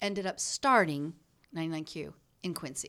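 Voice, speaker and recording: In a very clean recording with a silent background, a woman with an American accent speaks with ordinary pitch variation. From US Midwest (born Chicago, raised Hannibal, Missouri). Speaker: former radio announcer, audiobook narrator. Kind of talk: casual chat. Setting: studio. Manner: animated.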